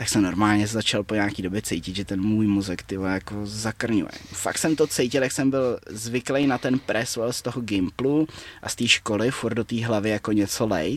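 This man has a plain, everyday voice, fairly low in pitch, with ordinary pitch variation, a moderate pace and hardly any pauses. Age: 20s. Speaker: martial arts fighter and coach. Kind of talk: casual interview chat.

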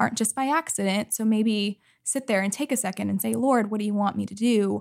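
A woman with an American accent speaks in an unremarkable speaking voice at medium pitch and a moderate pace. Her pitch varies in an ordinary way, and the recording is very clean with a silent background. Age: 30s. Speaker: ministry leadership program worker. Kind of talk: casual interview.

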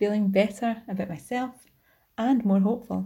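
In a Scottish accent, a woman speaks at a fairly slow pace in a medium-pitched, somewhat breathy voice with a dark, mellow tone and ordinary pitch variation on a very clean recording with a silent background. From Scotland. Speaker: community member. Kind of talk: testimony.

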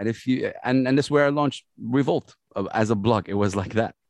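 A man at medium pitch with an Arabic accent and lively intonation, at a moderate pace, in a dry, close sound with no echo and a quiet background. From Saudi Arabia (Jeddah). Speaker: hip hop radio host and producer. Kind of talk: interview conversation. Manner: loud; animated.

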